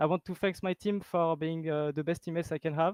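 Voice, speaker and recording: Someone with a French accent speaks at a fairly quick pace in a dry, close sound with no echo and a quiet background. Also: man. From France. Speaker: esports player. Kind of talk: post-match interview.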